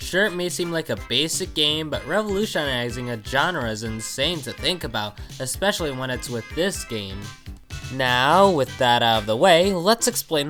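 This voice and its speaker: At a moderate pace, the speaker talks while music plays in the background. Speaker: video game reviewer. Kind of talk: video game review narration. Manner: casual.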